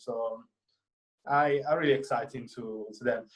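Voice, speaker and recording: Speaking with an Italian accent, a man uses a fairly high pitch, ordinary pitch variation and a moderate pace. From Italy, near Florence. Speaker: film student. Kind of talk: interview. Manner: halting, many fillers.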